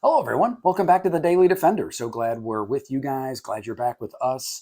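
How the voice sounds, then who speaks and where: A man's very fast speech in a dark, mellow tone, with very wide pitch swings. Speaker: firearms reviewer. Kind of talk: product review. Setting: indoor facility, no range. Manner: frequent filler 'uh'; casual, conversational.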